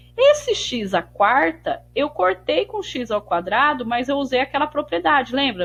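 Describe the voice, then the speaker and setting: A woman talks at a fairly slow pace. Her voice has vocal fry. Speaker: math teacher. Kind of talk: tutorial.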